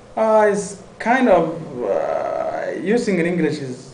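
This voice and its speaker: Against noticeable background noise and audible room echo, a man with a Somali accent talks with lively intonation. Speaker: university student. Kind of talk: interview. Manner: halting, many fillers.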